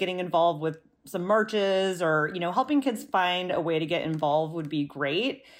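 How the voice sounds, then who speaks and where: A woman with an American accent has an ordinary speaking voice, medium pitch, and lively intonation at a fairly quick pace. The recording is very clean with a silent background. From US Midwest, rural South Dakota. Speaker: parent, church member. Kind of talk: casual chat.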